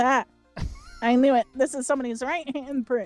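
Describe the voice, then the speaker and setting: A put-on character voice speaks in a high pitch at a moderate pace. Faint music plays in the background. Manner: nerdy.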